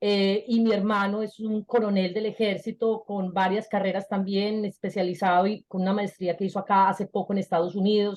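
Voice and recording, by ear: Speaking at a moderate pace, a woman holds a medium pitch with little pitch movement and a slightly mellow tone.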